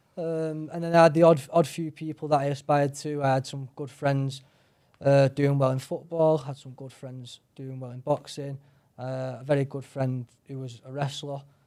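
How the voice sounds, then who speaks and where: A man with a Manchester accent speaks at a moderate pace in a fairly high pitch, his dark, mellow tone delivered with monotone, flat intonation and big swings in loudness, in a very clean recording with a silent background. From northern England, Salford, Manchester. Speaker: mixed martial artist. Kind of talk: interview.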